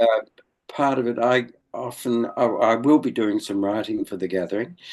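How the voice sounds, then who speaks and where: A man's medium-pitched voice in an Australian accent, with ordinary pitch variation at a moderate pace. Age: 80s+. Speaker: elder of a men's movement. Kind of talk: interview. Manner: halting.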